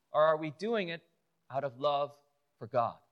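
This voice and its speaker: A man speaks with a Chicago accent and ordinary pitch variation. The recording is very clean, with a silent background. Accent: Chicago American English. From Chicago, US. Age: 40s. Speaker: lay preacher and youth pastor. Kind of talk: sermon. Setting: church pulpit with audience. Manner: hesitant, many fillers.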